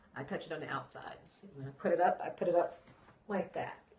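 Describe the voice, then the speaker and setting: Noticeable background noise runs under the recording. A woman speaks at a fairly low pitch. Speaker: natural hair vlogger. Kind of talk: live stream chat. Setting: live broadcast. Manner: soft-spoken.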